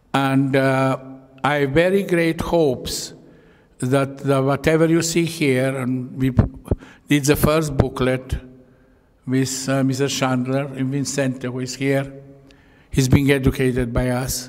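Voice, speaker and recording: A man with a medium-pitched voice speaks at a fairly slow pace in a flat monotone, pausing long and often over noticeable background noise. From Croatia (Yugoslavia). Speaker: Holocaust survivor, retired engineer. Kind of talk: public talk. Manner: halting.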